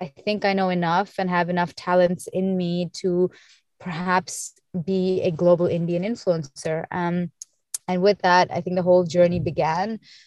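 A woman's plain, everyday voice at medium pitch and a fairly slow pace, with a dry, close sound and no echo. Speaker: beauty and fashion influencer and founder. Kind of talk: casual interview chat.

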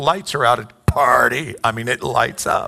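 The voice shows ordinary pitch variation over noticeable background noise. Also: man. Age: 60s. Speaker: pastor. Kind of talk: sermon.

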